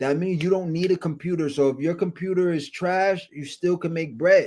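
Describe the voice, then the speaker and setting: His pitch sits high for a man. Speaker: day trading stream host. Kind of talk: live trading stream chat. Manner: loud, screaming at times.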